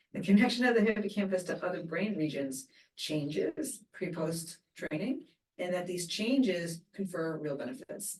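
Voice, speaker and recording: A somewhat breathy woman with a fairly low pitch. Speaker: neuroscience researcher. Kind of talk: interview. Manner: fast.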